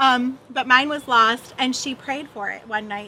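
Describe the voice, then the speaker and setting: A woman uses a raised, projected voice at a high pitch, speaking at a fairly slow pace. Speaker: missions trip volunteer. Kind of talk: testimony.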